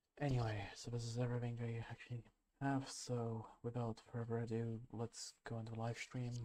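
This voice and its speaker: A soft-spoken man with a dark, mellow tone talks at a moderate pace and medium pitch, his intonation monotone and flat. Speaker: photography livestreamer. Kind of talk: live stream commentary. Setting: live stream at sister's house. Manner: halting, many fillers.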